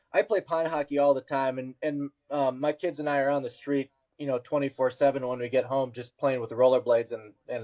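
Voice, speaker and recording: In an Upper Midwest accent, a man with a dark, mellow tone and medium pitch talks at a fairly quick pace with fairly even intonation, the sound dry and close with no echo. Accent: Upper Midwest American. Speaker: podcast host. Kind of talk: casual chat.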